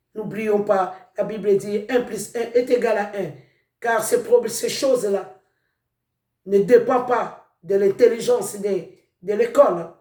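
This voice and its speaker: Speaking very slowly with long, frequent pauses, a man with a non-native accent keeps a fairly even intonation in a high voice. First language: not French (speaking French). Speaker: preacher. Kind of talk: sermon.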